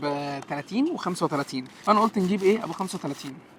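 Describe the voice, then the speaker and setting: There is noticeable background noise behind this man. He speaks at a high pitch with lively intonation. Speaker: food reviewer. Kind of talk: food review vlog. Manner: speaking softly, lowered voice.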